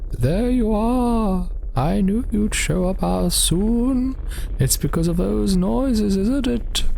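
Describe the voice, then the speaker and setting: A put-on character voice delivered at a fairly slow pace, with clear background noise. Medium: solo performance. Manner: insinuating, spooky.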